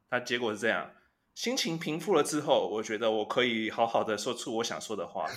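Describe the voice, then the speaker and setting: With an ordinary speaking voice, a man talks at a fairly quick pace at medium pitch, with ordinary pitch variation. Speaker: podcast co-host. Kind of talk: casual chat.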